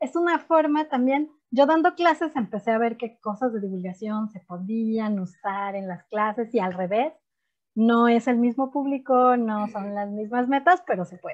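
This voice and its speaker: Against a quiet background, a woman with a fairly high pitch speaks at a moderate pace, her intonation lively and her loudness swinging widely. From Mexico. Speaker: chemist and science teacher. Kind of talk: interview.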